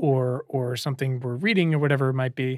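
In a very clean recording with a silent background, a man with an ordinary speaking voice speaks at medium pitch and a moderate pace. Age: 30s. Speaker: podcast host. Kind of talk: interview. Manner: casual, profane.

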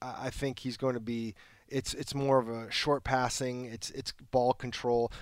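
On a very clean recording with a silent background, a man speaks in a normal speaking voice at a medium pitch. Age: 50s. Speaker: sports team reporter. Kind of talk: casual chat.

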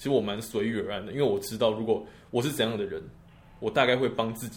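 Talking very fast at a medium pitch, a man is heard with audible room echo. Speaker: medical student. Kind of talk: casual chat.

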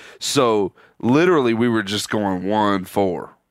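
In a very clean recording with a silent background, a man with a Southern US accent talks at a fairly slow pace and a medium pitch. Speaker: hunting show co-host. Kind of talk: casual chat. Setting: on a tour bus.

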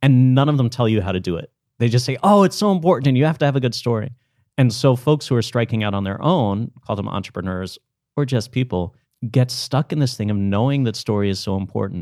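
A man with a dark, mellow tone speaks at a fairly quick pace on a very clean recording with a silent background. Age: 40s. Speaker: storytelling coach and workshop leader. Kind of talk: interview.

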